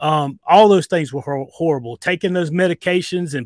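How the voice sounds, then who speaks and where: Speaking at a fairly quick pace, a man with a Southern US accent has a high voice and ordinary pitch variation. The recording is very clean and dry, close with no echo, over a silent background. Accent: Southern US, audible. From US South, near Greenville, South Carolina. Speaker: emergency medical worker sharing diet story. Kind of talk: interview.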